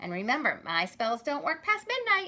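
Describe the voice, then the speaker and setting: Using a put-on character voice, a female-sounding voice moves at a moderate pace, high in pitch with very wide pitch swings. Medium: read story.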